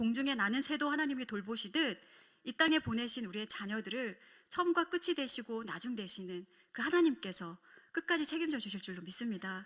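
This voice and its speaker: A woman talks at a fairly quick pace in a fairly high voice, her pitch swinging very widely. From South Korea, Busan. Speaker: pastor's wife giving a talk on family worship. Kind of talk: testimony lecture.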